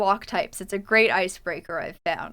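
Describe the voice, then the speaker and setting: A woman with a bright, sharp tone speaks at a moderate pace on a very clean recording with a silent background. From Canada. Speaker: gaming streamer. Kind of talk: casual chat while gaming on a livestream. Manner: conversational, with frequent fillers and self-corrections.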